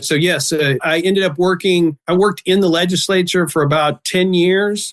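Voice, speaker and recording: The voice has ordinary pitch variation. The sound is dry and close with no echo. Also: man. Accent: Texan. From Texas, Dallas-Fort Worth area. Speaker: election commissioner. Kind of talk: podcast interview.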